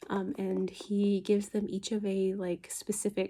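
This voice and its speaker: A soft-spoken woman talks in a relaxed tone. Her pace is very slow. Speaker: book ASMR creator. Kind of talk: casual talk to camera, book review. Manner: soft-spoken, relaxed.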